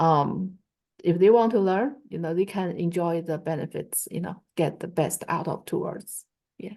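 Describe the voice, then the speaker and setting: A woman with a Chinese accent speaks at a fairly slow pace and a fairly low pitch, with ordinary pitch variation. Her voice carries vocal fry over a quiet background. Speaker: Chinese language teacher. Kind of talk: online class discussion. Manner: halting, many fillers.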